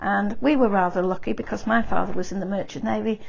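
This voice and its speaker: Background noise is clearly noticeable here. Her pitch swings very widely as the woman talks. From northern England, Grimsby, Lincolnshire. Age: 80s+. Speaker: war-time eyewitness. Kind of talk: oral history interview. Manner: halting, with many fillers.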